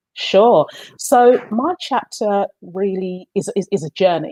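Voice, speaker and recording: A woman's dark, mellow tone at medium pitch, in a London accent, at a fairly slow pace, with a dry, close sound and no echo. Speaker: book co-author, accountant in diversity work. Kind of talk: interview.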